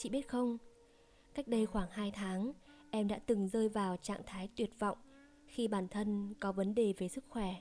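With a dark, mellow tone, this woman talks fairly slowly and keeps her intonation fairly even. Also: medium pitch for a woman. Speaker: storytelling podcaster. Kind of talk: casual Q&A chat. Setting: home recording. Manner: relaxed conversational.

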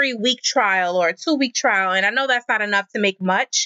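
A woman with an American accent speaks in a bright, sharp tone with ordinary pitch variation, on a very clean recording with a silent background and a dry, close sound with no echo. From Queens, New York. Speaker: animation nonprofit co-founder and publicist. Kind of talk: interview.

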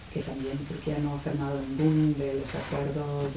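A woman with an English accent, a very deep, low pitch, monotone, flat intonation and a fairly slow pace, amid noticeable background noise and audible room echo. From United Kingdom. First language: English (speaking Spanish). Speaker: lawyer and activist. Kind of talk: panel talk. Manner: halting.

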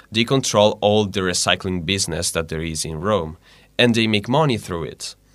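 A man with an Italian accent speaks at a moderate pace, his pitch fairly low with ordinary variation. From northwest Italy (Liguria). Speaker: volunteer English and Italian teacher. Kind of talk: radio interview. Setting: radio studio.

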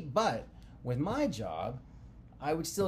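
A man's voice carries audible room echo. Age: 30s. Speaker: podcast co-host, married couple. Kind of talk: casual chat.

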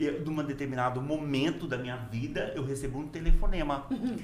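A fairly quick pace with ordinary pitch variation, audible room echo and noticeable background noise. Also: man. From Brazil, Rondônia (Porto Velho), born in Minas Gerais. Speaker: engineer and professor. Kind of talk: casual interview chat.

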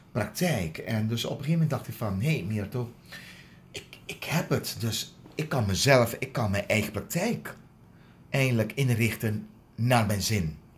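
At a fairly slow pace, a man speaks with lively intonation at a medium pitch in a somewhat breathy voice. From Aruba. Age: 50s. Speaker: dental hygienist. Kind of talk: interview. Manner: halting.

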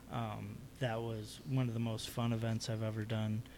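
Audible room echo surrounds a man with an American accent who speaks at a medium pitch and a fairly slow pace. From Chicago South Side. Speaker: artist. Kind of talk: casual chat.

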